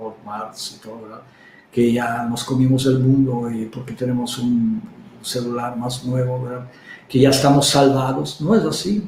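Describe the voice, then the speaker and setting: Through noticeable background noise and audible room echo, a man speaks with a non-native accent. His pitch is medium and his pace fairly slow. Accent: foreign accent in Spanish. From Czech Republic. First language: Czech (speaking Spanish). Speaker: herbalist. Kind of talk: interview. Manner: halting, many fillers.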